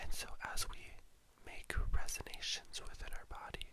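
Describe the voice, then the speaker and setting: The speech is whispered at a moderate pace. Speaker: drag performer. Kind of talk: guided meditation. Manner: whispered, soft-spoken.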